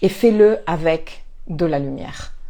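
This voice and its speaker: A woman speaks with lively intonation. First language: not French (speaking French). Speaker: astrologer and life coach. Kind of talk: spiritual talk to camera. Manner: hesitant, many fillers and repetitions.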